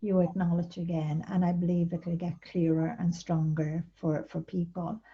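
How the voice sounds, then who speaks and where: A soft-spoken woman with an Irish accent talks at a moderate pace in a fairly low pitch. Her tone is dark and mellow, somewhat breathy, with flat, monotone intonation. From Ireland. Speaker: spiritual author. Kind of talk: interview answer.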